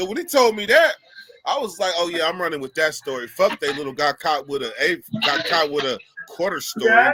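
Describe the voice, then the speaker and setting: A man speaks in a raised, projected voice with an American accent. His pace is fairly quick and his pitch swings very widely. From California (Sacramento). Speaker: live stream host telling prison stories. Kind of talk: casual chat storytelling. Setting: live stream.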